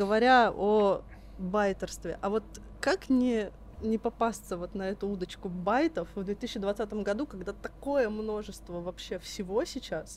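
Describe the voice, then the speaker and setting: She has an ordinary speaking voice, a woman at medium pitch with ordinary pitch variation. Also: fairly slow pace. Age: 20s. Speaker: podcast co-host. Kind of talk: casual chat.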